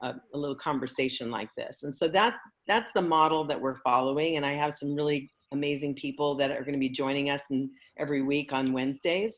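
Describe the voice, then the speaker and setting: Against a quiet background, a woman speaks at a fairly quick pace with a very deep, low pitch and ordinary pitch variation. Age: 60s. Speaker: networking group founder and host. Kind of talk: casual chat.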